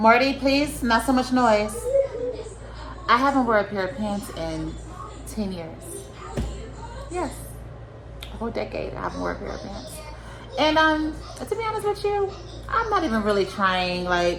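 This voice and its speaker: Over noticeable background noise and audible room echo, a woman talks at a moderate pace with long, frequent pauses. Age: 30s. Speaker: vlogger sharing personal experiences. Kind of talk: casual personal vlog. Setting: at home with children nearby. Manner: relaxed, many filler words.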